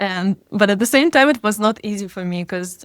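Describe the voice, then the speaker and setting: A woman's medium-pitched voice with a Russian accent, dry and close with no echo. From Russia, Siberia. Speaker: DJ and music producer. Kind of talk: interview. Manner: hesitant, many fillers.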